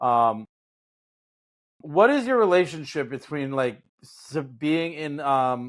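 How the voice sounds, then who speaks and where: Lively intonation runs through very slow speech broken by long, frequent pauses. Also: man, fairly high pitch for a man. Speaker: podcast host. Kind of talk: casual interview chat. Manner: hesitant with many fillers.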